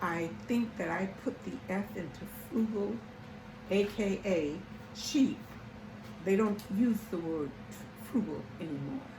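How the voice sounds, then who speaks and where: Over noticeable background noise and audible room echo, a woman with an American accent and a medium pitch speaks at a very slow pace with lively intonation and long, frequent pauses. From US South. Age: 80s+. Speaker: lifestyle YouTuber. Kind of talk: casual talk. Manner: halting.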